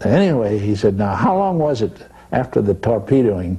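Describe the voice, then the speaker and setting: An American man speaks with very wide pitch swings over noticeable background noise. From Texas. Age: 80s+. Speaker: painter and war artist. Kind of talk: interview answer.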